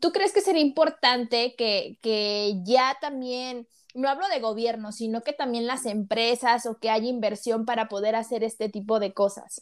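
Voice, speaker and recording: A woman with an ordinary speaking voice, at a fairly slow pace with hardly any pauses and ordinary pitch variation. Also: fairly high pitch for a woman. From Mexico, Tampico, Tamaulipas. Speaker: podcast host. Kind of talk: casual interview.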